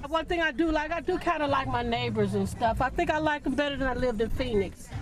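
Very fast and high-pitched, a woman speaks at a very even loudness. Music sits in the background. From St. Louis. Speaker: local resident. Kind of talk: street interview.

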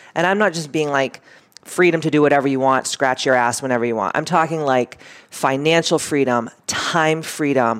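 Animated in tone, the speech has ordinary pitch variation and a moderate pace, with noticeable background noise. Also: woman, very deep, low pitch for a woman. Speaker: podcast host and women's wellness coach. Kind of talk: casual chat. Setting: studio.

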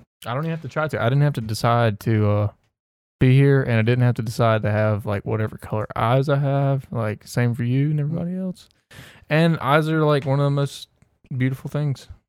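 A plain, everyday voice from a man with a medium pitch and ordinary pitch variation, at a fairly quick pace, in a very clean recording with a silent background. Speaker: podcast co-host. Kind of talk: casual chat.

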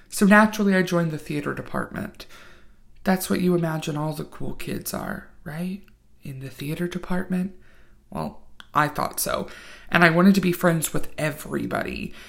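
A woman's fairly low, fry-tinged voice at a moderate pace, with fairly even intonation and big swings in loudness. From Virginia, small town. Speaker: podcast host. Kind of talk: storytelling podcast narration.

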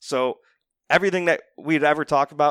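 With fairly even intonation, a man talks at a very fast pace in a very clean recording with a silent background and a dry, close sound with no echo. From Northeast Ohio. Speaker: financial advisor. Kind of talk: casual chat.

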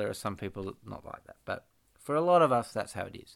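A man with an Australian accent, lively intonation and a moderate pace. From Western Australia (Perth). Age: 30s. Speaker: musician. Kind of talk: casual interview. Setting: Skype call.

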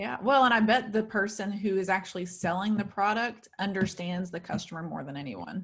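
Somewhat breathy and at a medium pitch, a woman speaks fairly quickly with hardly any pauses. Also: ordinary pitch variation, big swings in loudness. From US South. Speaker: podcast host. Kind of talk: casual interview chat.

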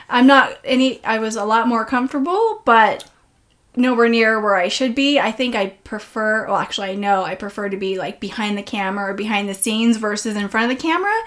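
A woman speaks with ordinary pitch variation. It is an unremarkable speaking voice. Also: fairly high pitch for a woman, fairly quick pace. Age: 40s. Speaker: podcast host. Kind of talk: interview. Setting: in a home.

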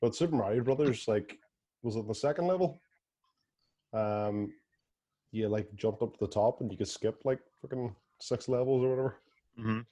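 Speaking fairly quickly with long, frequent pauses, a man with a Northern Irish accent has a dark, mellow tone. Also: medium pitch for a man, ordinary pitch variation. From Belfast, Northern Ireland. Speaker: podcast host. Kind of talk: casual chat.

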